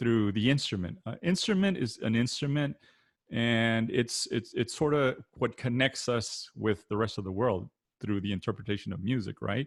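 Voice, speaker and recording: A man speaks with a South Texas accent at a moderate pace. His intonation is lively, and the background is quiet. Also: medium pitch for a man. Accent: South Texas Mexican-American English. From South Texas (Rio Grande Valley, Weslaco). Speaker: accordion product manager and performer. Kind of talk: panel discussion. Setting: video call. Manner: many fillers and restarts.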